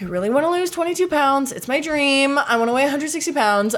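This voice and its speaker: Talking at a fairly quick pace with lively intonation, a woman uses an ordinary speaking voice. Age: 20s. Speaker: podcast host and actor. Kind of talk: casual chat.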